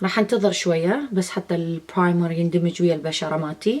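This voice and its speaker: A woman with an Iraqi accent speaks at a moderate pace with ordinary pitch variation over noticeable background noise. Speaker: beauty vlogger. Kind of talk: makeup tutorial. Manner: casual, with hesitations.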